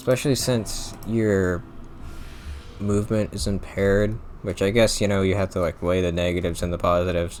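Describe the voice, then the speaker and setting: With an ordinary speaking voice, a man talks at a fairly quick pace, his fairly low pitch showing ordinary variation. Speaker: gaming commentator. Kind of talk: gameplay commentary. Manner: casual, filler-heavy.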